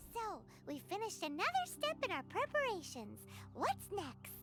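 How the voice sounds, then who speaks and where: A squeaky put-on character voice comes through over clear background noise. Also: moderate pace. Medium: video game. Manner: chatty, curious.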